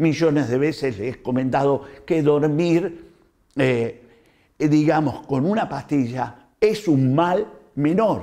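Against a quiet background, a man with an Argentine accent speaks very slowly at a fairly high pitch in a dark, mellow tone. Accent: Argentine Spanish (Rioplatense). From Argentina. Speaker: doctor. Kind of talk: health talk to camera. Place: home room. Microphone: lapel.

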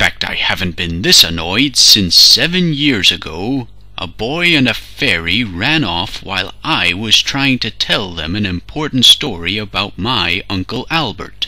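A man puts on a character voice, fairly low in pitch, talking with hardly any pauses over light background noise. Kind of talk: comic overacting. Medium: fan dub. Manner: indignant, rambling.

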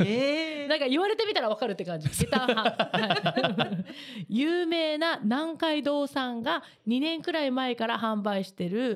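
A woman speaks at a fairly slow pace in a high voice. Her pitch swings very widely. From Japan, Kagoshima; Japan. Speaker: radio host and singer; radio show host. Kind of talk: radio talk show. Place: studio. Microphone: studio mic.

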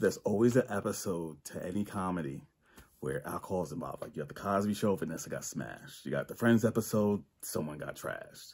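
This man talks at a very fast pace with lively intonation. His fairly low voice carries vocal fry. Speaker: amateur comedian. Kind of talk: stand-up comedy, self-hosted bedroom special with one-liners. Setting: home bedroom. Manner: stammering and repeating words, filler-heavy with uh and um; casual, chuckling at his own jokes. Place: home room. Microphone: phone near.

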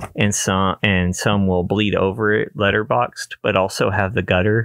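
Against a quiet background, a man speaks at a moderate pace in a fairly low voice with ordinary pitch variation, the sound dry with no echo. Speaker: photography youtuber. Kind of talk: casual vlog chat. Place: home room. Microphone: studio mic.

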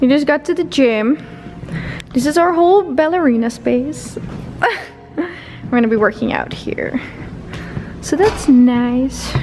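Over music in the background, a woman with a high pitch speaks at a fairly slow pace, with long, frequent pauses. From Netherlands. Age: 20s. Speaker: vlogger, international student. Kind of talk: casual vlog talk to camera. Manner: casual, playful.

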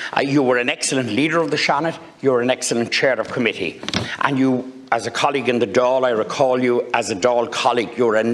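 Speaking at a very fast pace, a man gets through his words. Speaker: senator. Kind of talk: formal parliamentary speech. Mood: warm, congratulatory. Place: hall.

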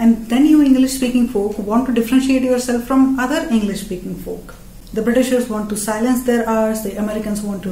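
Speaking at a fairly quick pace, a woman with an Indian accent uses a fairly high pitch and fairly even intonation. Audible room echo fills the recording. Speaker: comedian. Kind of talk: stand-up comedy. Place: home room.

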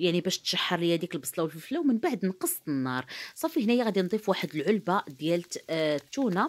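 A woman at a very fast pace, lively in intonation, with very even loudness. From Morocco. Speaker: cooking youtuber. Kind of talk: cooking tutorial. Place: kitchen. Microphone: phone near.

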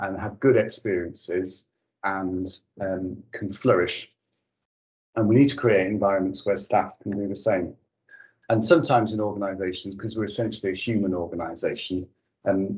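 Against a quiet background, a man speaks at a moderate pace with a fairly low pitch. His voice is somewhat breathy, with fairly even intonation. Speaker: organisation leader on a panel. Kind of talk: panel discussion answer. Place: home room. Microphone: video call.

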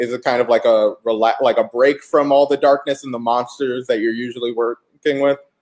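A man's medium-pitched voice in an American accent at a fairly quick pace, with hardly any pauses and a quiet background. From US South, Atlanta; US South. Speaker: comic shop host. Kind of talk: casual interview. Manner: animated. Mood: friendly, upbeat, smiling. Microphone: webcam.

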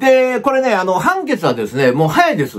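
His pitch high, a man speaks with very wide pitch swings. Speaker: YouTube news commentator. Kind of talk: commentary monologue on news. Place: home room.

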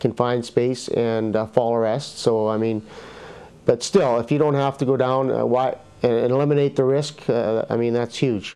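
Moderate pace and fairly even intonation from a man. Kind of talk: interview answer. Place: studio. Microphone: lapel.

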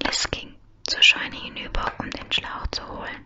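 A soft-spoken, whispering voice keeps a moderate pace over loud background noise. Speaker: reader. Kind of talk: soft audiobook-style reading of German fiction. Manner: soft close-mic ASMR whisper. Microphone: studio mic.

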